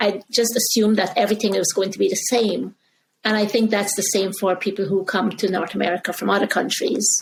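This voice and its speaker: A woman speaks at a fairly quick pace in a medium-pitched, somewhat breathy voice. Her intonation stays monotone and flat. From Guyana. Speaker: communication coach and author. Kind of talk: interview conversation.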